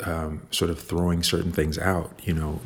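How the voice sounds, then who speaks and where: A man speaks in a Chicago accent. His pitch is very deep and low. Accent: Chicago American. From Chicago, South Side. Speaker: visual artist. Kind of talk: interview. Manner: halting, many fillers and repetitions.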